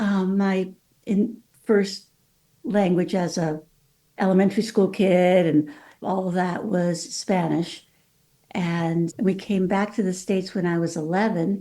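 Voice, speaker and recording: A woman with a Californian accent speaks at a fairly slow pace in a dark, mellow tone and medium pitch, with fairly even intonation and long, frequent pauses. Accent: California. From Mexico City, then California. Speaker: author and lawyer. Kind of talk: podcast interview.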